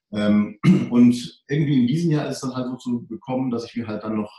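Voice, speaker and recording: This man has a dark, mellow tone at a medium pitch. He sounds somewhat breathy, with lively intonation. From Germany, Hunsrück (Rhineland-Palatinate). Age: 40s. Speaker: financial advisor for doctors. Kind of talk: interview.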